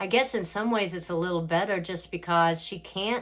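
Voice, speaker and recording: In an American accent, a woman with a plain, everyday voice speaks at a fairly quick pace with ordinary pitch variation. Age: 60s. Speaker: family caregiver, former beauty pageant winner. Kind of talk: casual talk to camera.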